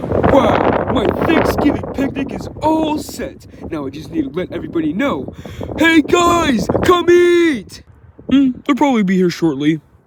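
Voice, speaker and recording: A man puts on a cartoonish character voice pitched extremely high. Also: moderate pace. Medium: puppet.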